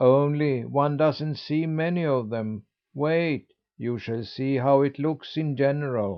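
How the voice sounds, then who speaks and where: Putting on a character voice, a man speaks at a fairly high pitch and a fairly slow pace in a calm tone. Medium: read story. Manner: calm, authoritative.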